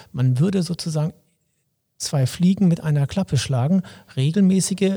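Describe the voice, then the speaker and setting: A man speaks with lively intonation. His tone is dark and mellow, and somewhat breathy. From Lower Saxony, Wolfsburg. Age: 50s. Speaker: local mayoral candidate, police officer. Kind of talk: interview.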